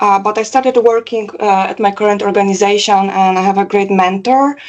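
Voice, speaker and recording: In a Polish accent, a woman speaks at a medium pitch with fairly even intonation. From Poland. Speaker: cybersecurity professional. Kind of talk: interview testimonial. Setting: call. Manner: halting, many fillers.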